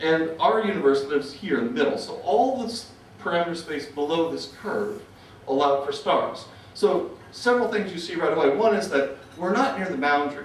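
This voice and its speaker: The intonation is lively. Noticeable background noise and audible room echo come through. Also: man, fairly high pitch for a man. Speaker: physicist giving conference talk. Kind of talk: conference lecture. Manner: fast; hesitant fillers.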